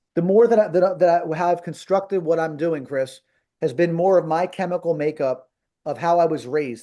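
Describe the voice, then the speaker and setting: Against a quiet background, a man with a high pitch and a Philadelphia accent speaks at a fairly quick pace in a dark, mellow tone with ordinary pitch variation. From US Northeast, South Philadelphia. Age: 50s. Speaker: marketing coach for martial arts schools. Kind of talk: live coaching webinar. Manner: animated.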